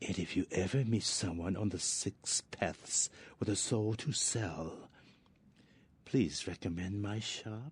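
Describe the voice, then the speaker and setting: In a put-on character voice, a man talks fairly slowly and fairly low. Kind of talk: game voice acting. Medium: video game. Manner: formal, measured.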